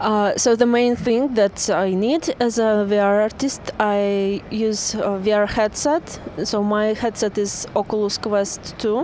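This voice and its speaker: A woman with a Russian accent, fairly high pitch, very slow pace, fairly even intonation and very even loudness, over noticeable background noise. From Russia, St. Petersburg. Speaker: VR artist. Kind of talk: interview. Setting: outdoors.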